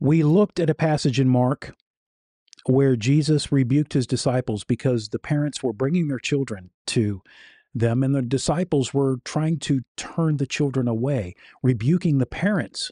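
Against a quiet background, a man speaks at a moderate pace in a serious, dark, mellow tone. His pitch variation is ordinary, and the sound is dry with no echo. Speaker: YouTube host and critic of preachers. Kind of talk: commentary and critique narrating over sermon clips. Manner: earnest, serious, somewhat halting with fillers. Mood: critical, earnest. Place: home room. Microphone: studio mic.

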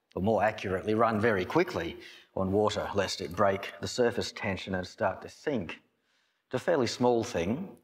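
A man's speech shows ordinary pitch variation and a moderate pace. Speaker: pastor. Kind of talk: sermon. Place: church. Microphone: podium.

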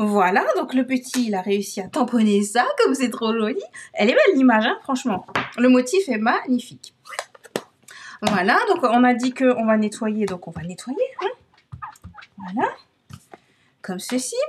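A high-pitched woman at a fairly slow pace, lively intonation and long, frequent pauses. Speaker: crafting video creator. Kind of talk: craft tutorial. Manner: animated.

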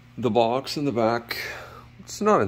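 There is light background noise as a man speaks at a fairly low pitch with vocal fry. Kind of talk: inspection commentary. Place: garage. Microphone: phone near.

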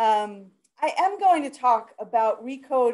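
A woman's high-pitched voice with a dark, mellow tone. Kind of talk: webinar presentation. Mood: warm, friendly. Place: office. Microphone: video call.

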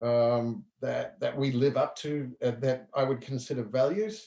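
A fairly slow delivery in a New Zealand accent, with ordinary pitch variation. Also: man. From western New Zealand. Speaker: entrepreneur; guest. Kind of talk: casual interview chat. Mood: relaxed, reflective. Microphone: video call.

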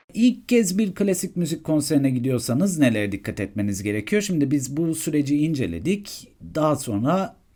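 Moderate pace in a very clean recording, its background silent. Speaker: content creator. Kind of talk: tutorial.

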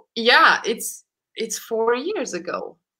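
A woman with a Romanian accent, a bright, sharp tone and lively intonation at a fairly high pitch, over a quiet background. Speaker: concert pianist; guest. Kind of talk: casual interview chat. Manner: halting, repeats words. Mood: warm, reflective. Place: home room.

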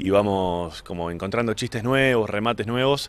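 A man's speech moves at a moderate pace, its pitch variation ordinary. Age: 40s. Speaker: stand-up comedian. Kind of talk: interview. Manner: halting.

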